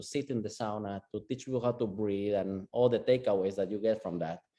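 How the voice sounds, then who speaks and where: Dark, mellow tone from a man at a medium pitch with a Latin American accent, over a quiet background. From Guatemala. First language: Spanish. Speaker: sauna and breathwork coach. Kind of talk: casual interview chat. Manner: animated.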